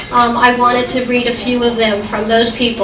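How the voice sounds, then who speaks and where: A loud woman with a high pitch and fairly even intonation, with audible room echo and noticeable background noise. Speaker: daughter of the couple giving a speech. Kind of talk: family party speech. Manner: hesitant, many fillers. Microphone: too loud, echoing.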